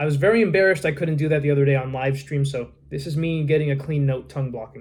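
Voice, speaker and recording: A man talks at a very fast pace in a somewhat breathy voice. His pitch is fairly high, with ordinary variation. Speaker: harmonica vlogger. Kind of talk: casual vlog talk. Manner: halting.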